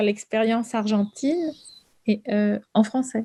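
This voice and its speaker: A woman's fairly high voice at a very slow pace, with ordinary pitch variation and a quiet background. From Argentina. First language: Spanish (speaking French). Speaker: novelist. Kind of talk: author interview with students. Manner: halting, many repetitions and hesitations.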